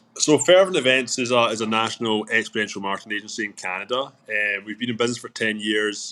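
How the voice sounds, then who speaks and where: Speaking very fast with hardly any pauses, a man with a Scottish accent has a bright, sharp tone. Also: medium pitch for a man, ordinary pitch variation. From Scotland, Glasgow. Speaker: business owner. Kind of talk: interview. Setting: live stream. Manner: repeats words, halting.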